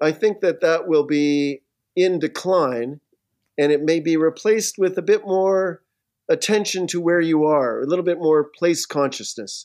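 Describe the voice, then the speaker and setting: A man speaks at a high pitch with ordinary pitch variation and a fairly slow pace. His loudness stays very even over a quiet background. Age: 60s. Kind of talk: casual interview chat. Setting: remote video call.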